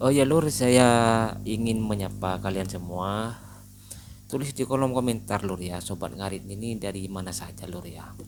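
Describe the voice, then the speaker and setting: With a Madurese accent, a man talks at a moderate pace and a fairly low pitch. His loudness swings widely, and there is audible room echo. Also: ordinary pitch variation. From Madura, Indonesia. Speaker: livestock channel host. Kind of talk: casual vlog talk. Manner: casual, conversational with fillers.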